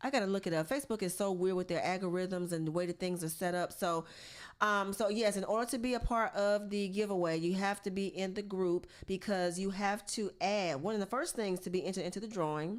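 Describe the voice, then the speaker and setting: Speaking at a fairly quick pace, a woman has an animated tone and a medium pitch with ordinary pitch variation. The recording is very clean, with a silent background. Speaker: podcast host. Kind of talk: casual chat.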